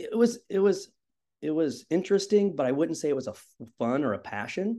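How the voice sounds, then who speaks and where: Speaking at a fairly quick pace, a man with a Midwestern American accent has a dark, mellow tone. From Indiana. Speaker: high school cross country coach. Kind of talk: casual interview.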